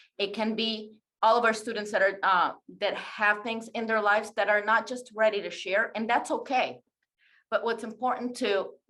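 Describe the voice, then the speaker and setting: A woman with a non-native accent, fairly high-pitched with a bright, sharp tone, at a moderate pace. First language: not English. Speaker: teacher presenting a webinar. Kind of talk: webinar presentation.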